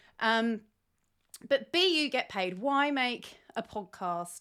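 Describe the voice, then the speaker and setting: A woman with a British accent and lively intonation, in a very clean recording with a silent background. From Britain. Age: 40s. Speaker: podcast host. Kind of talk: casual solo podcast monologue. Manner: rambling, many fillers.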